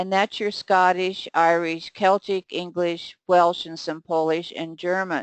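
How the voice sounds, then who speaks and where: The voice moves at a fairly slow pace with hardly any pauses, in a monotone, flat intonation and big swings in loudness. The sound is dry and close with no echo, against a quiet background. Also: woman, fairly low pitch for a woman. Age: 60s. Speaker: skincare educator. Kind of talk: lecture.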